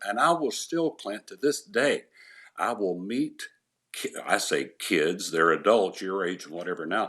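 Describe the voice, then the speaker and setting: A man talks with an East Tennessee accent at a moderate pace, his pitch swinging very widely. The recording is very clean, with a silent background. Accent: Southern US (East Tennessee). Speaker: retired sports anchor. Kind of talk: casual interview.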